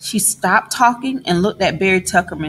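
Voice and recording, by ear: With lively intonation, this person reads aloud in a natural voice.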